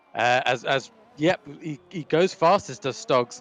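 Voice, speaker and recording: Noticeable background noise surrounds a man speaking with lively intonation, the sound dry and close with no echo. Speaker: sim racing commentator. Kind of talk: live commentary. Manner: loud. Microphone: crackling mic.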